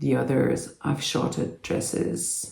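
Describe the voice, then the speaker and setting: A woman's dark, mellow voice at a very slow pace, with audible room echo. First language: French. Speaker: doll collector YouTuber. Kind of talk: unboxing video. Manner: hesitant, many fillers.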